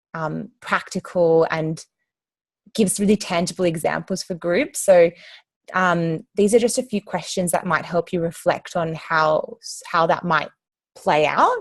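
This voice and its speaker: Fairly even intonation marks a woman speaking in an Australian accent. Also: fairly low pitch for a woman, fairly slow pace. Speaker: activist group trainer. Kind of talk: training session. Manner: many filler ums.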